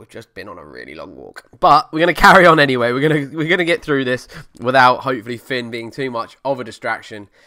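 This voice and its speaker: Very fast and medium-pitched, a man with an Essex accent talks with vocal fry and a bright, sharp tone on a very clean recording against a silent background. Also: lively intonation, hardly any pauses, big swings in loudness. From Essex, England. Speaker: car podcast host. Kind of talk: casual solo podcast. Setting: home living room desk. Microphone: new USB desk microphone.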